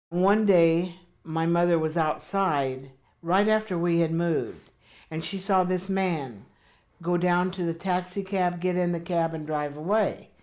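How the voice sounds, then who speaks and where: A woman's fairly low-pitched voice, fairly slow and fairly even in intonation, with audible room echo. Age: 70s. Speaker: interviewee recalling life story. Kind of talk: oral history interview. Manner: hesitant with fillers.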